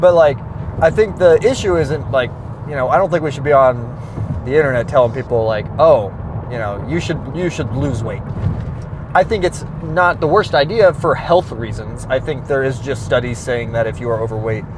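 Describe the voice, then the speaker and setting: Here a man with an American accent talks at a medium pitch and a moderate pace. Noticeable background noise is present. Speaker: fitness vlogger. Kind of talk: casual vlog monologue. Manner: casual, filler-heavy.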